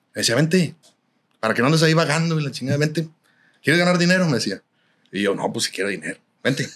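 Lively intonation at a very fast pace. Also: man, fairly high pitch for a man. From Nuevo León, Mexico. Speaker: norteño musician; podcast guest. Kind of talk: casual interview chat. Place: studio. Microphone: studio mic.

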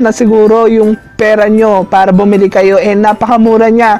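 Faint music plays behind a man with a high-pitched voice. He keeps a moderate pace and fairly even intonation. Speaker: vlogger reviewing a microphone. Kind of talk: casual vlog chat. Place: home room. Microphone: lapel.

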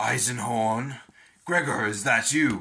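A man's put-on character voice, raspy and medium in pitch, at a fairly slow pace with audible echo. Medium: read story. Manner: mesmeric, mocking.

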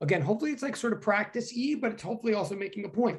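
Quiet background behind a man's speech. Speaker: physics professor. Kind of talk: lecture. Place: home room. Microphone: webcam.

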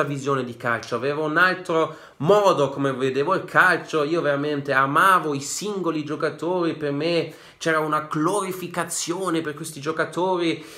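Over a quiet background, a man with a fairly high voice speaks at a moderate pace in a bright, sharp, animated tone. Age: 20s. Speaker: football YouTuber; football fan vlogger. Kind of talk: casual vlog monologue. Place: home room. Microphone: phone near.

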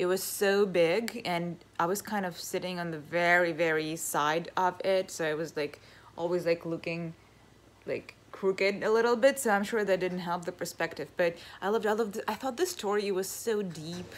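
The pace of this woman's speech is moderate. Ordinary pitch variation runs through it. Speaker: vlogger. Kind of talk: casual vlog chat. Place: home room. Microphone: phone near.

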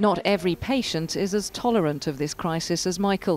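Here is a woman with an unremarkable speaking voice and a medium pitch. She talks at a fairly quick pace with ordinary pitch variation. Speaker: TV news reporter. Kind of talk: TV news report narration.

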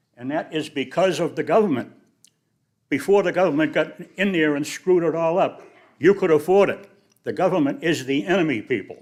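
A man with a Boston accent speaks at a high pitch and a fairly quick pace. The recording is very clean, with a silent background. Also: ordinary pitch variation. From New England (Boston). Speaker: public commenter. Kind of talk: public comment at council meeting.

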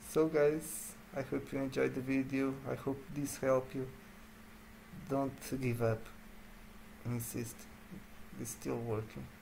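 A man with a Portuguese accent speaks at medium pitch with fairly even intonation, a somewhat breathy, dark, mellow tone and long, frequent pauses. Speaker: gaming YouTuber. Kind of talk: gameplay commentary.

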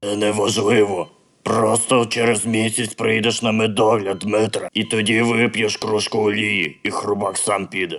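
A man's put-on character voice, fairly low in pitch and flat in a monotone. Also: moderate pace. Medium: fan dub.

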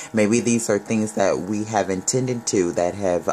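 Background music accompanies the voice. The delivery is fairly slow. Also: man. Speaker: tarot reader. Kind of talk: tarot reading commentary. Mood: warm, upbeat. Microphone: phone near.

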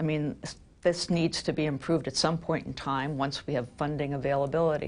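A woman talks at a fairly quick pace. Her pitch is very deep and low, and her intonation stays fairly even. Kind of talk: interview answer. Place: office. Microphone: lapel.

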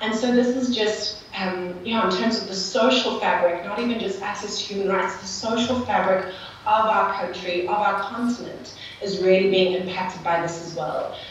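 A woman with a South African accent, fairly even intonation and a moderate pace with hardly any pauses, in strong room echo over light background noise. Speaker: non-profit community builder. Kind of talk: panel discussion. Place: hall.

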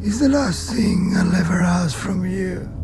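Someone speaks at a fairly slow pace over loud music in the background. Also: man. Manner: grim, commanding.

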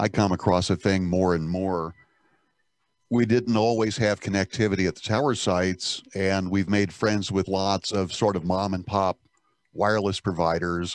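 Against a quiet background, a man speaks at a moderate pace and fairly low pitch, with fairly even intonation and a dry sound with no echo. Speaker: broadcast engineer. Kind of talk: group discussion. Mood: relaxed, anecdotal. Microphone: video call.

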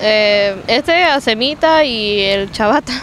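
Over faint background noise, a woman speaks at a slow pace with lively intonation and a fairly bright tone. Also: fairly high pitch for a woman.

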